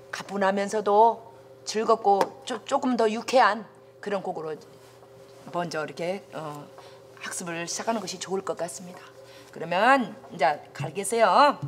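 The pace is fairly slow, with long, frequent pauses and big swings in loudness. Light background noise sits underneath. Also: woman. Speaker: folk song teacher. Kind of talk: lecture. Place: classroom.

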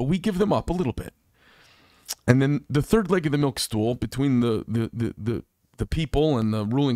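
Against a quiet background, a man speaks at a fairly quick pace with lively intonation, the sound dry and free of echo. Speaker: podcast host. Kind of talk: podcast monologue commentary. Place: studio. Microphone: studio mic.

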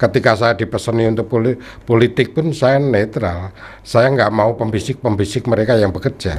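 At a moderate pace, a man speaks at medium pitch, somewhat breathy, with ordinary pitch variation. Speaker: newspaper cartoonist. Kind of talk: casual interview; interview answer. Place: studio. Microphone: studio mic.

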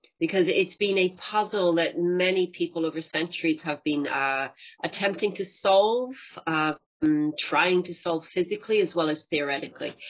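A woman talking at a moderate pace. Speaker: speaker. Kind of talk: lecture. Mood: light, humorous. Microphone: webcam.

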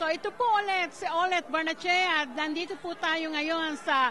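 With light background noise, a woman uses a raised, projected voice at an extremely high pitch, speaking fairly slowly with fairly even intonation. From Philippines. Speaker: community radio and TV host; community radio, TV host. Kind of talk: event interview. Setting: indoor event venue. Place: hall. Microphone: handheld.

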